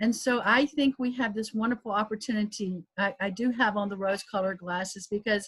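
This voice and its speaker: A woman with a slight Southern US accent at a moderate pace, her pitch varying in an ordinary way. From US South, South Carolina. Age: 60s. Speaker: professor. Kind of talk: panel discussion.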